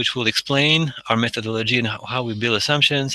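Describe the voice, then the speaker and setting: With a French accent, a man speaks at a fairly quick pace with a bright, sharp tone, medium pitch and ordinary pitch variation. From France. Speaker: energy storage consultant. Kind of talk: webinar presentation. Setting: online webinar. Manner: halting, many fillers and restarts.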